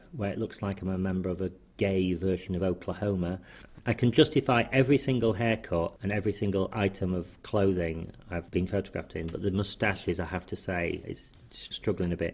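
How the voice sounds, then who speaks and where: A man with a Yorkshire accent, fairly low pitch and ordinary pitch variation, at a fairly quick pace against a quiet background. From northern England, Leeds. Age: 50s. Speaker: menswear writer. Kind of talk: personal memoir talk. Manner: casual with hesitations.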